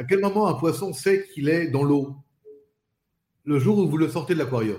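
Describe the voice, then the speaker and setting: A man with a fairly high pitch and ordinary pitch variation speaks at a fairly quick pace in a somewhat breathy voice. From Paris suburbs, France. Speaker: spokesperson. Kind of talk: interview. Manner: halting, repeats words.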